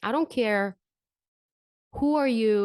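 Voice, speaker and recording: A woman with an ordinary speaking voice at a moderate pace, ordinary pitch variation, dry, close sound with no echo, and a quiet background. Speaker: vocal coach. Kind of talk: podcast talk.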